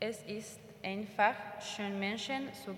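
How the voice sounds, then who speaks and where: A woman speaks very slowly with a Spanish accent. Her medium-pitched voice carries audible room echo. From Argentina. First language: Spanish (speaking German). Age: 20s. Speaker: volunteer in a kindergarten. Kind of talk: interview answers; reading intercessory prayers. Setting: church service with congregation. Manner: halting.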